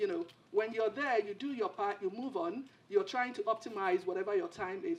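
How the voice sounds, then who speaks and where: Her pitch swinging very widely, a woman talks at a very fast pace. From Nigeria. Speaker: panelist, former government minister. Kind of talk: panel discussion. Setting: theater with audience. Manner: halting.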